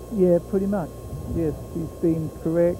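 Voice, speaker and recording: A man speaks in a New Zealand accent with monotone, flat intonation. Noticeable background noise can be heard. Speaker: harness racing horse trainer. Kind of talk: trackside sports interview. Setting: at a fairground racetrack. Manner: halting, many fillers.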